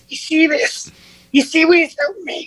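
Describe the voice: This put-on character voice is raspy and extremely high-pitched. It moves at a moderate pace.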